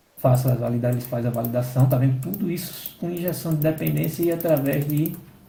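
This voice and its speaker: A man speaks at a fairly quick pace. Some room echo can be heard. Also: medium pitch for a man, ordinary pitch variation. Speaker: software development instructor. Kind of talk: technical training session.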